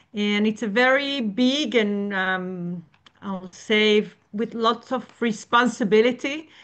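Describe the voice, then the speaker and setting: Over a quiet background, a woman speaks very slowly at a fairly high pitch with ordinary pitch variation. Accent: Israeli. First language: Hebrew. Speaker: emotional and spiritual counselor. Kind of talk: webinar presentation.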